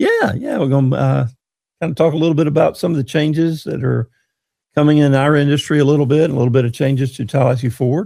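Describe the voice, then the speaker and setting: Speaking at a very fast pace, a man uses a Southern US accent and a fairly high pitch. His tone is dark and mellow, his intonation fairly even. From North Florida (Monticello). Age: 60s. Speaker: dealership community relations manager. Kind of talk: casual interview chat.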